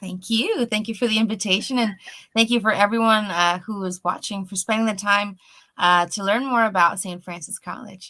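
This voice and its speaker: A woman's bright, sharp tone at medium pitch, with fairly even intonation and big swings in loudness. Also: moderate pace, very clean recording, silent background. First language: Spanish. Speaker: college admissions representative. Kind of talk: promotional interview.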